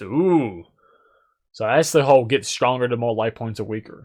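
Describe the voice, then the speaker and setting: Mumbling at a moderate pace against a quiet background, a man speaks at a medium pitch with ordinary pitch variation. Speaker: gaming YouTuber. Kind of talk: card set review. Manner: casual.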